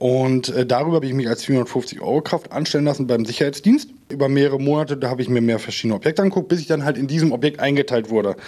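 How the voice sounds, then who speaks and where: The pace is very fast, with hardly any pauses. Pitch variation is ordinary. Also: man, fairly high pitch for a man. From Minden, East Westphalia, Germany. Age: 30s. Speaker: cyber-security business owner. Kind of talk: casual interview.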